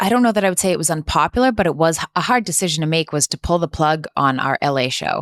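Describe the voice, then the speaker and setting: A woman speaks with lively intonation and hardly any pauses. The sound is dry and close, with no echo. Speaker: nonprofit co-founder and cancer survivor. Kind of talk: interview. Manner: loud.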